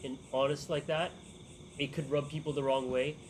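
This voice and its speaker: A man speaks with a fairly high pitch and a somewhat breathy voice. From United States. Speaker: event host. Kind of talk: group discussion.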